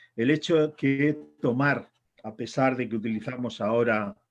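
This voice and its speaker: Here a man with an ordinary speaking voice and medium pitch talks at a fairly slow pace with fairly even intonation. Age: 60s. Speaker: author and editor. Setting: congress panel.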